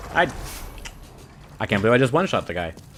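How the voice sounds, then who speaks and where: A man speaks while noticeable background noise fills the recording. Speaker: gaming streamer. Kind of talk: live game commentary. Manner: off-the-cuff rambling.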